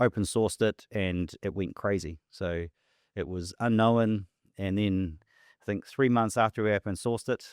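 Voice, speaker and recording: In a New Zealand accent, a man with a fairly low pitch talks at a moderate pace on a very clean recording with a silent background and a dry, close sound with no echo. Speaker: tech company founder and CEO. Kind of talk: podcast interview. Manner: repetitive, hesitant with fillers.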